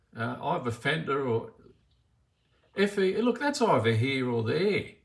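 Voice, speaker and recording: Using an Australian accent, a man speaks at a fairly slow pace and a fairly high pitch, his voice swinging very widely in pitch. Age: 60s. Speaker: bank customer. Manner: agitated, repeats himself.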